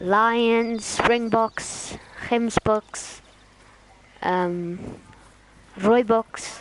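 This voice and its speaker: A woman in a South African accent, fairly high-pitched and fairly even in intonation, at a very slow pace with long, frequent pauses and noticeable background noise. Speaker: gaming streamer. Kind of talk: casual chat. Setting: live stream. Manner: halting.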